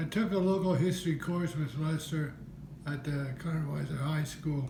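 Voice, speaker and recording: There is audible room echo and noticeable background noise as a man with an American accent speaks. His pitch is fairly high, his intonation fairly even, and his pace moderate. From Pennsylvania. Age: 70s. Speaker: wood carver. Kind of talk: interview.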